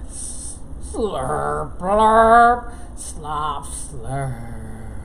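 A woman drawls in a cartoonish character voice. Background noise is clearly audible. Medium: puppet. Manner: drawling.

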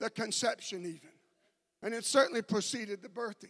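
Against a quiet background, a man speaks at an extremely high pitch with fairly even intonation. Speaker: preacher. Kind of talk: sermon. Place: church. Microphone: handheld.

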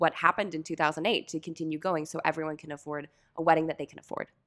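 Over a quiet background, a woman speaks very fast in a bright, sharp tone. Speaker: podcast host. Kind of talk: interview conversation. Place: studio. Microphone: studio mic.

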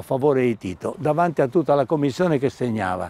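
The tone is dark and mellow, with lively intonation. The sound is dry, with no echo. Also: man. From Istria, Pola (now Croatia); Istria. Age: 80s+. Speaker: war refugee witness; witness. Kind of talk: interview testimony. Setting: outdoors. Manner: halting. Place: garden. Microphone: lapel.

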